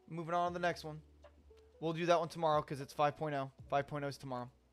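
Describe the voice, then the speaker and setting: Fairly high for a man, this man's voice keeps a fairly even intonation. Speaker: IT certification student streamer. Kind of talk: live study stream. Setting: live stream.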